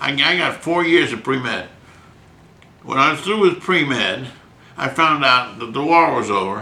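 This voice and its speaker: A man speaks in an animated tone with lively intonation and a fairly high pitch, at a moderate pace with long, frequent pauses. Noticeable background noise and audible room echo are present. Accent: American. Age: 80s+. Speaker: physician, writer and painter. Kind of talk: interview. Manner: animated storytelling.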